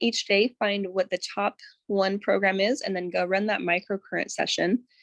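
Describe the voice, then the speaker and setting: A woman at medium pitch, dry and close with no echo, against a quiet background. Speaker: wellness device tutorial presenter. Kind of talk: tutorial. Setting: live broadcast with screen share. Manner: slow; hesitant, many fillers.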